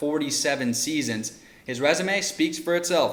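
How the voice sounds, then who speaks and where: Talking at a fairly quick pace, a man has a fairly high pitch. Noticeable background noise is present. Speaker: sports reporter. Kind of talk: on-air sports report.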